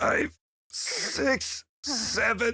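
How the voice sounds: This is a put-on character voice. It sounds raspy and fairly high in pitch.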